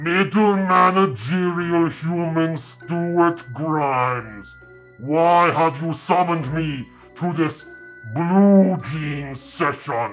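A man puts on a pompous, theatrical character voice, speaking very slowly at a fairly high pitch with ordinary pitch variation while clear music plays in the background. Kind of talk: comic overacting. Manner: pompous, booming, theatrical menace.

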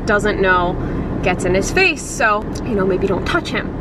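Over loud background noise, a woman speaks at a moderate pace in a dry sound with no echo. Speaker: vlogger parent. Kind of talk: casual vlog chat. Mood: mildly frustrated, candid. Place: car. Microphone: phone near.

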